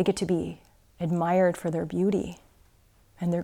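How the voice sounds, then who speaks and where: Fairly low in pitch with a dark, mellow tone, a woman speaks at a moderate pace in a very clean recording with a silent background. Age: 40s. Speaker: yoga teacher and Zen practitioner. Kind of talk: dharma talk.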